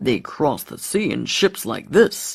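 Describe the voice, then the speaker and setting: A man puts on a character voice at a high pitch. He speaks at a fairly slow pace. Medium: read story.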